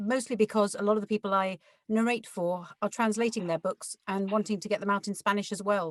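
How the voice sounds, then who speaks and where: A woman speaks in an ordinary speaking voice at medium pitch, with fairly even intonation. Her pace is moderate, and the sound is dry and close with no echo. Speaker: audiobook narrator. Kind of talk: interview answer.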